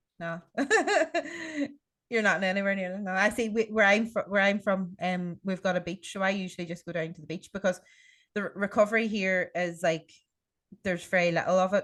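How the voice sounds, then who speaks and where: A woman's medium-pitched voice in an Irish accent, fairly quick yet broken by long, frequent pauses, monotone and flat, against a quiet background. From Ireland. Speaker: podcast host. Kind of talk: casual chat. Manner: fast.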